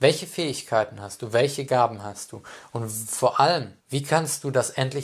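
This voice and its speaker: A man talks in a medium pitch, his voice somewhat breathy. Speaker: life coach and speaker. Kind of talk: personal monologue.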